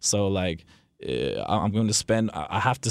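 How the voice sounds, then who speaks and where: In an American accent, a man speaks in an ordinary speaking voice at a fairly low pitch with ordinary pitch variation. The recording is very clean, with a silent background. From New Jersey. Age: 20s. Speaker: record label owner. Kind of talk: casual interview.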